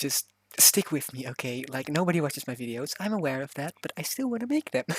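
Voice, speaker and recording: On a very clean recording with a silent background, the speaker talks at a very fast pace with a non-native accent. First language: not English. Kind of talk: casual voiceover for game speedbuild. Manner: hesitant, many fillers.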